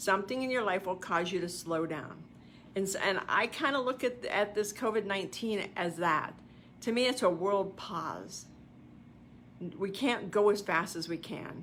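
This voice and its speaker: A woman with an American accent speaks in an animated tone at a moderate pace, her medium pitch showing ordinary variation. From US East Coast. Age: 60s. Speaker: self-help coach and livestream host. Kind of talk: motivational talk.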